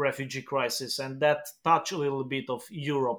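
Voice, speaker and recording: A man with a Romanian accent and a fairly high pitch, on a very clean recording with a silent background. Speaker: pastor. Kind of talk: interview. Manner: halting.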